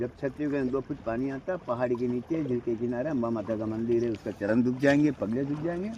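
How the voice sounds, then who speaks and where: A man speaks at medium pitch and a moderate pace, with ordinary pitch variation. Noticeable background noise is present. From Rajsamand, Rajasthan (Mewar). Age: 70s. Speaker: local guide. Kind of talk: informal guided tour talk.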